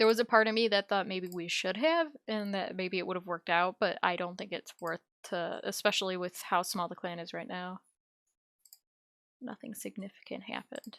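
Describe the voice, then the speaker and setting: In a very clean, silent recording with a dry, close sound and no echo, a woman speaks at a moderate pace in a plain, everyday voice of medium pitch, with ordinary pitch variation and big swings in loudness. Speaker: nursing student. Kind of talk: casual gameplay commentary.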